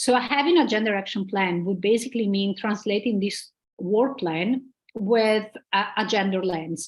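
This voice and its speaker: This woman's voice sits at a medium pitch and is somewhat breathy. She keeps a moderate pace with ordinary pitch variation. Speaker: conference speaker on gender inclusion. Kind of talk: conference presentation.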